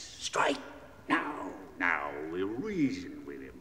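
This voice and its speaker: In a put-on character voice, a man growls through a slight echo, with clear background noise behind him. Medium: audio drama. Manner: curt, menacing.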